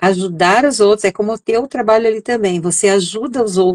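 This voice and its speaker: A woman with a normal speaking voice talks at a moderate pace, her pitch medium and ordinarily varied. The sound is dry and close, with no echo. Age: 60s. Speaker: essential oils entrepreneur. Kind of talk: interview. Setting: live stream. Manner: conversational, many fillers.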